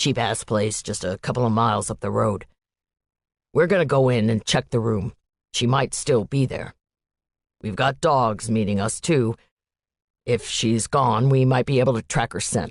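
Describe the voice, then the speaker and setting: A man's put-on character voice, growling at a medium pitch, at a moderate pace with long, frequent pauses. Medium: read story. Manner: brisk.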